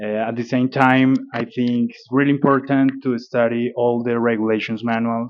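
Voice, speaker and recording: A medium-pitched man with a Spanish accent at a moderate pace. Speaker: airline pilot. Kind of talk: interview. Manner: halting, many fillers.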